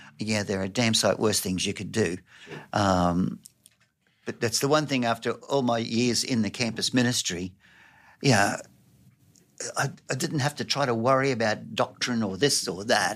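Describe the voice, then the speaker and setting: In an Australian accent, a man of medium pitch talks at a moderate pace with ordinary pitch variation and long, frequent pauses, on a very clean recording with a silent background. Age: 70s. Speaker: youth worker and volunteer. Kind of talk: interview conversation.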